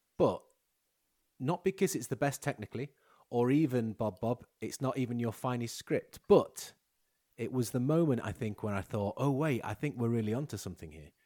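A man with an ordinary speaking voice talks at a moderate pace and medium pitch, with lively intonation. The sound is dry and close, with no echo. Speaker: podcast host. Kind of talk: casual chat.

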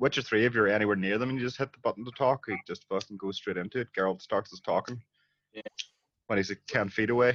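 The speech comes at a very fast pace in a Northern Irish accent. The sound is dry and close, with no echo. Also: man, medium pitch for a man. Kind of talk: casual chat.

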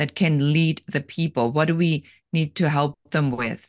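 A woman's very deep, low-pitched voice at a fairly slow pace. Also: dry, close sound with no echo. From Germany. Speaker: business coach and entrepreneur. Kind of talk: interview.

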